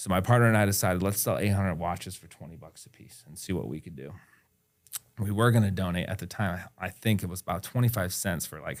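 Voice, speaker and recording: A man talks very fast in a very deep, low voice with ordinary pitch variation. His loudness swings a lot. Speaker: entrepreneur. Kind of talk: interview.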